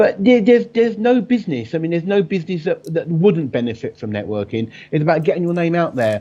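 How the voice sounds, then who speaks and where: Loud, very fast speech with a dark, mellow tone swings very widely in pitch and hardly pauses. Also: man, high pitch for a man. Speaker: business networking expert. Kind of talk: casual interview chat. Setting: live video call. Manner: animated.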